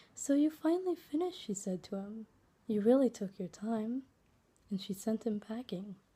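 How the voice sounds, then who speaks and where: A woman's soft-spoken, somewhat breathy voice, fairly high in pitch, with a dark, mellow tone, lively intonation, and a moderate pace. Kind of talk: read fairytale.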